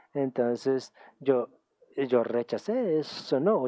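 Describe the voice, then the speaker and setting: A medium-pitched man's voice with a German accent. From Germany. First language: German (speaking Spanish). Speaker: UN official and academic speaker. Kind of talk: conference talk. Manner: halting, with filler sounds.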